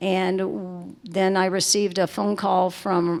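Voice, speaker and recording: In a Southern US accent, a woman talks at a fairly low pitch with fairly even intonation. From US South, Lake Charles, Louisiana. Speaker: resort managing director. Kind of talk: panel conversation.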